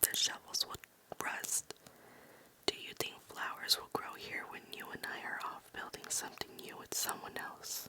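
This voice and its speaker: Someone whispers with big swings in loudness over noticeable background noise. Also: woman. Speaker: ASMR creator. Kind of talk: poetry reading for sleep. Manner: whispered, slow.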